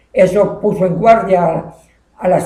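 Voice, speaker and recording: Fairly slow and fairly even in intonation, a man speaks in a high voice with a dark, mellow tone. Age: 70s. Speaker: teacher. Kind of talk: informal history storytelling. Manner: hesitant, halting.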